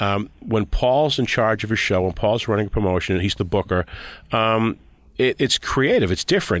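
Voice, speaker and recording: On a very clean recording with a silent background, a man with an unremarkable speaking voice talks at a fairly low pitch, with ordinary pitch variation and very even loudness. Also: moderate pace. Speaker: former wrestling TV writer and director. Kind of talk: casual interview chat.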